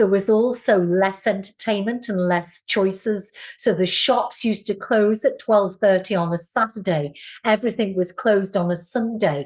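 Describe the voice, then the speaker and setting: Speaking at a moderate pace, a woman uses a medium pitch and ordinary pitch variation. She has a slight Scouse accent. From northern England, Liverpool. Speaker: Pilates teacher and wellness coach. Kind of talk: interview answers.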